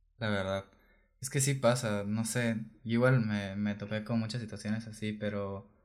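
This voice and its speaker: In a very clean recording with a silent background, a man with a Mexican accent speaks at a fairly low pitch and moderate pace, with monotone, flat intonation. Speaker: podcast co-host. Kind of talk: casual chat. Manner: halting, repeats words.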